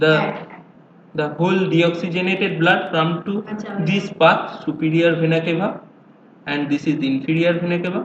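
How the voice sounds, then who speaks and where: A man with an Indian accent, high pitch, flat monotone intonation and a moderate pace, with audible room echo. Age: 20s. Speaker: amateur educational video maker. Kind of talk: tutorial. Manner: halting.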